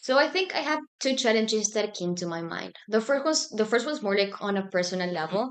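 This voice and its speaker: This speaker talks at a fairly quick pace with lively intonation in a Spanish accent. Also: woman, fairly high pitch for a woman. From Argentina, Buenos Aires. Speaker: student organization president. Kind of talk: podcast interview.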